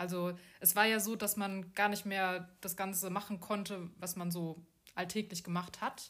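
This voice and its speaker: At a medium pitch, a woman speaks with monotone, flat intonation. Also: moderate pace. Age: 40s. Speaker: podcast host, bank employee and coach. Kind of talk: casual chat. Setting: abroad on Koh Samui.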